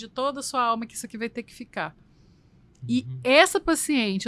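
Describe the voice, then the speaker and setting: Speaking at a moderate pace, a woman uses a fairly high, bright, sharp voice with lively intonation in a very clean recording with a silent background. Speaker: nutritionist. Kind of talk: interview answer.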